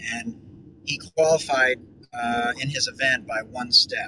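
An ordinary speaking voice from a man, with fairly even intonation. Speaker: podcast host. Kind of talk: casual chat.

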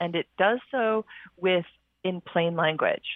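Speech moves at a fairly slow pace. The pitch shows ordinary variation. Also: woman. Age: 50s. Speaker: functional medicine practitioner and author. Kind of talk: interview. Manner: animated.

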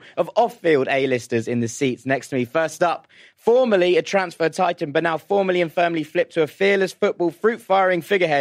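In a British accent, the speaker goes at a fairly quick pace with ordinary pitch variation. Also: man. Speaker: football podcast host. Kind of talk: casual chat. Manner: animated.

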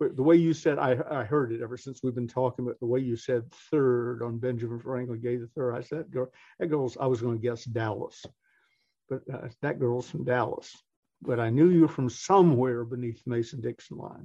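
Fairly quick speech with a Southern US accent. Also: man, medium pitch for a man. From US South, Atlanta. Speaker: motivational speaker. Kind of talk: interview. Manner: animated.

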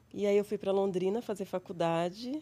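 A woman with a dark, mellow tone talks at a moderate pace, her pitch varying in an ordinary way. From interior of São Paulo state, Brazil. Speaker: psychologist and researcher. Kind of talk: casual interview conversation. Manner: calm, tranquil.

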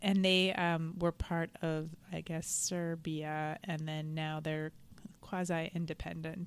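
Very slowly, a woman talks at a fairly low pitch in a monotone, flat way. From Montreal, Canada. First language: Spanish. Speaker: comedian. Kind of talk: casual chat.

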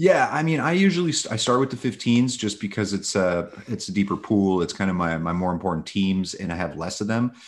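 Speaking with an American accent, a man's fairly low voice sits against a quiet background. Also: fairly quick pace. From Los Angeles, US (Russian-born). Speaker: fantasy baseball analyst. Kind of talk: casual interview.

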